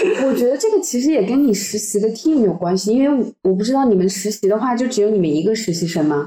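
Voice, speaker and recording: A woman with a fairly high pitch talks very fast with lively intonation and very even loudness. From China. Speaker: UN library events intern. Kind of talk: casual chat. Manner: repetitive, stammering.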